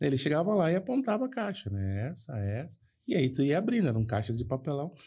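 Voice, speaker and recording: Over a silent background in a very clean recording, a man talks at a fairly quick pace in a fairly high pitch, his dark, mellow tone somewhat breathy and his pitch swinging very widely. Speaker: podcast co-host, foreign trade professional. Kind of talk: casual chat, anecdote telling.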